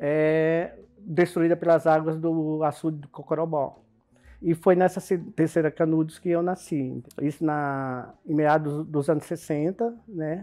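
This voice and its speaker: Fairly high-pitched yet dark and mellow in tone, a man speaks at a fairly slow pace with fairly even intonation. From Bahia, Brazilian Northeast (grew up to 13). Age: 50s. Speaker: cultural events producer, migrant. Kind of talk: documentary interview. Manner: halting, with many fillers and restarts.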